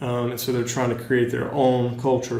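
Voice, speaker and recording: Someone with a Southern US accent speaks in a room with audible echo and noticeable background noise. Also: man. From North Carolina, US South. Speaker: teacher. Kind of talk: lecture. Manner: hesitant, many ums and uhs.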